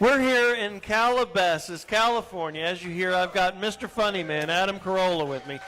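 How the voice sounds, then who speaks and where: A man's raised, projected voice, high in pitch and in a Southern US accent, fairly quick with hardly any pauses and ordinary pitch variation, over noticeable background noise. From Texas. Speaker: radio host. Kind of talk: live radio show, casual talk. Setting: live remote broadcast at a restaurant.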